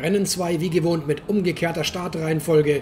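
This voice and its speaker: Against background music, a woman's fairly low-pitched voice can be heard. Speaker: motorsport commentator. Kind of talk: race commentary. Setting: voiceover over video footage.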